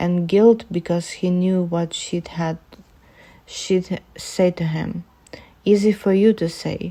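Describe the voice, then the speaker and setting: A woman with a non-native accent speaks very slowly in a dark, mellow tone, her intonation monotone and flat. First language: not English. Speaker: amateur fanfiction reader. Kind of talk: reading aloud. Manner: halting, self-correcting.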